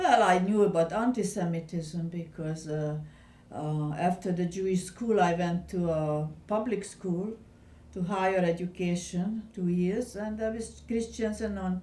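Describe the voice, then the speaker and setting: Speaking fairly slowly with a Hungarian accent, a woman has a medium-pitched voice and a dark, mellow tone. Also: ordinary pitch variation. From Hungary, Budapest. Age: 70s. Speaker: Holocaust survivor. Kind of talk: oral history interview. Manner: halting.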